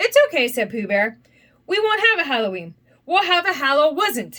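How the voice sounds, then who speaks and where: Putting on a character voice, a woman speaks high at a moderate pace with very wide pitch swings. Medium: read story. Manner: slow, gentle.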